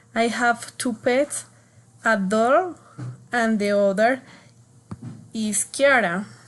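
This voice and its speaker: A woman's fairly high voice with a Spanish accent, very slow in pace, with ordinary pitch variation. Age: 20s. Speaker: student. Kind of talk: class speaking assignment. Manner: halting.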